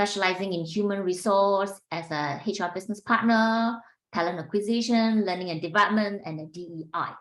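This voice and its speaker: A very clean recording with a silent background, in a Singaporean accent. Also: woman. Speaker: executive coach and podcast host. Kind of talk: interview.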